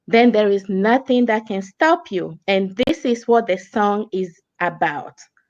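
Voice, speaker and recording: With a Togolese accent, a woman speaks at a fairly slow pace in a fairly high pitch, her intonation lively. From Togo, West Africa. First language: French or African languages. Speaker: business coach. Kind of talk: interview.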